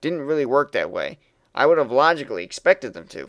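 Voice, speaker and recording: Speaking at a fairly quick pace with lively intonation, a man has a plain, everyday voice on a very clean recording with a silent background. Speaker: aspiring voice actor. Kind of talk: reading user reviews aloud.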